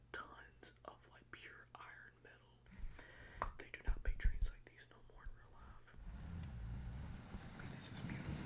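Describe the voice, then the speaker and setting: Whispering at a fairly slow pace. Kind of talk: casual commentary. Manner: whispered.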